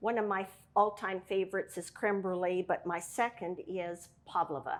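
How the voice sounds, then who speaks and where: In a very clean recording with a silent background, a woman with a normal speaking voice talks at a moderate pace, her medium pitch following fairly even intonation. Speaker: cooking show host. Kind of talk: cooking tutorial. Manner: casual with frequent fillers.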